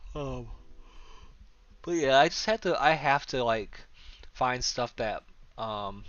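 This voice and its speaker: A man talks at a very slow pace with long, frequent pauses. His medium-pitched voice has lively intonation. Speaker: graphic designer streaming his work. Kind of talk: casual live stream chat while working. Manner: stutters sometimes; halting, many fillers.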